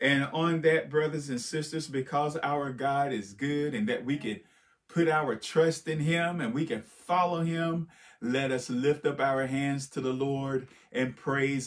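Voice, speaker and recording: With a quiet background, a man speaks at a fairly slow pace and ordinary pitch variation. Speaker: pastor. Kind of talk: sermon.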